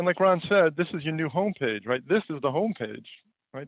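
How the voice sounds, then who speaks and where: A man talks with a New York accent and ordinary pitch variation. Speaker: company founder and CEO presenting a webinar. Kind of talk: webinar presentation. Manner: many fillers and repetitions.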